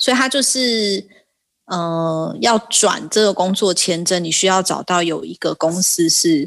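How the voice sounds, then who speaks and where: A woman speaks in a normal speaking voice at a medium pitch, going at a fairly slow pace with ordinary pitch variation. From Taiwan. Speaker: regional sales manager. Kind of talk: casual interview.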